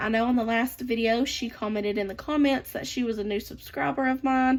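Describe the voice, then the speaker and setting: With a Southern US accent, a woman speaks using ordinary pitch variation. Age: 20s. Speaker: budgeting vlogger. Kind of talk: casual chat. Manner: chatty.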